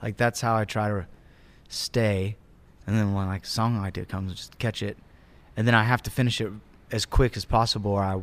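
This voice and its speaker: A man with an American accent talks at a fairly quick pace in a fairly low pitch, with monotone, flat intonation and long, frequent pauses. The recording is very clean, with a silent background. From US South, Georgia (Acworth, near Atlanta). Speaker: musician, band member. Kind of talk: casual interview chat.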